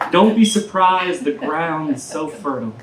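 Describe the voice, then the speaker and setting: Against noticeable background noise, a woman speaks at a very slow pace with very wide pitch swings. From US South, Aiken, South Carolina. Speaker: poet. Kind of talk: casual introduction to audience; poetry reading. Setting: live reading with audience in a taproom.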